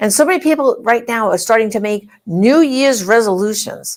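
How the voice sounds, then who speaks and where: Very wide pitch swings come at a moderate pace on a very clean recording with a silent background. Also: woman. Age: 60s. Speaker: talk show host. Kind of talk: live talk show interview. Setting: live broadcast. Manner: conversational, halting.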